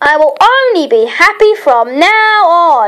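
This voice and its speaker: This put-on character voice moves at a fairly slow pace, its pitch swinging very widely. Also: woman. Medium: read story. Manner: grumbling, grunting.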